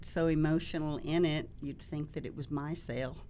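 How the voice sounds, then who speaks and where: A woman with a Texas accent talks at a moderate pace. Her voice is very deep and low, with a dark, mellow tone. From Texas, Dallas. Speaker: real estate agent. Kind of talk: interview. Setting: studio.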